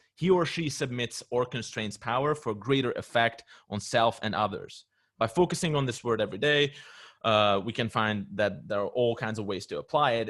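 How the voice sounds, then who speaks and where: A man with a non-native accent speaks at a fairly quick pace, with a medium pitch and ordinary pitch variation. The recording is very clean, the background silent. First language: not English. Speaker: discussion participant. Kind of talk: casual group discussion. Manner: hesitant, with fillers.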